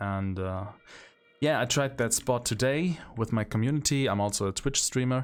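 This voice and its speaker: A man talks at a fairly slow pace with a German accent and ordinary pitch variation. The recording is very clean, with a silent background. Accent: non-native English, German. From central Germany. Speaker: gaming streamer. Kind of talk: gameplay commentary. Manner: hesitant, with fillers.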